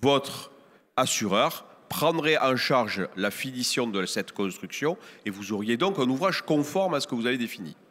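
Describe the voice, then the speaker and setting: A man speaks with a southern French accent. His intonation is lively. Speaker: real estate professional on a conference panel. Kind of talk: panel talk at a trade fair conference.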